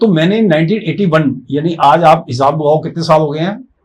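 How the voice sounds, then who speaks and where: A man with a dark, mellow tone talks at a moderate pace with lively intonation. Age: 60s. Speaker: life coach. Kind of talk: interview.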